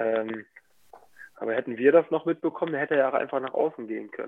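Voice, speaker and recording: The man talks at a very fast pace. His medium pitch carries fairly even intonation. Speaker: professional handball player. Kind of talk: casual interview.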